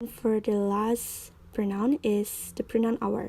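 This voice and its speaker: The woman speaks in a dark, mellow tone with an Indonesian accent. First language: Indonesian or Balinese. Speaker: university student. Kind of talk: tutorial.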